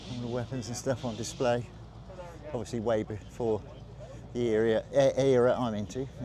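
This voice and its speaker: Over music in the background, a man at medium pitch talks at a moderate pace in a flat monotone, with long, frequent pauses. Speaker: vlogger filming a military vehicle show. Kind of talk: casual walkaround commentary. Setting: outdoors at a show. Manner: slurring words slightly.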